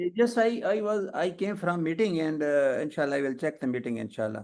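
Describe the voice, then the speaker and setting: Speaking at a fairly quick pace, a man uses a fairly high voice that swings very widely in pitch. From Pakistan. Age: 70s. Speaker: professor. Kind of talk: casual chat. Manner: halting.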